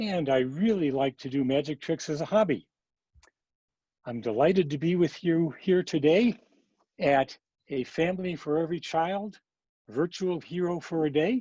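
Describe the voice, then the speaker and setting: A man talks at a moderate pace with long, frequent pauses, a fairly high pitch and ordinary pitch variation. His tone is dark and mellow, the sound dry and close with no echo, and the background quiet. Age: 80s+. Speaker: retired doctor and amateur magician. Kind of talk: magic show for children. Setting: video call.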